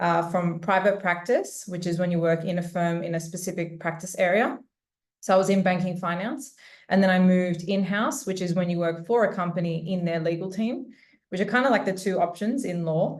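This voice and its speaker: With an Australian accent, a woman speaks at a fairly quick pace. Her pitch is medium with ordinary pitch variation. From Australia, Sydney. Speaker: corporate lawyer. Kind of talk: webinar panel talk.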